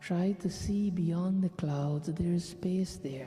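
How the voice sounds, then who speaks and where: Over music in the background, a man with a high pitch talks at a very slow pace with fairly even intonation. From Guyana. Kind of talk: guided meditation.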